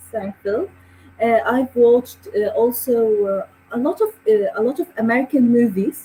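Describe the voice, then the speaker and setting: A woman speaks at a moderate pace with a high pitch and lively intonation. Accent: Arabic. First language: Arabic. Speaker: handcraft artist. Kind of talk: interview. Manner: halting.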